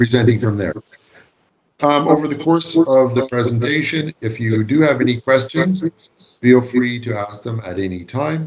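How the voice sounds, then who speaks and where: Medium in pitch, a man with a Canadian accent talks at a moderate pace with lively intonation in an unremarkable speaking voice. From Canada. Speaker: law lecturer. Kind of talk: lecture. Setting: video call. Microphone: long-distance online connection.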